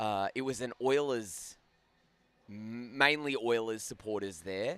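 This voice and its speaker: A man with an Australian accent speaks at a fairly slow pace. His pitch is medium with ordinary variation. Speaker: ice hockey commentator. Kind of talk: live commentary. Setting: commentary booth at rink. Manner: casual, bantering.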